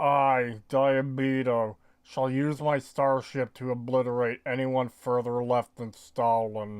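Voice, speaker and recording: A man's put-on character voice at medium pitch, monotone and flat, fairly slow with hardly any pauses. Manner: pompous, villainous.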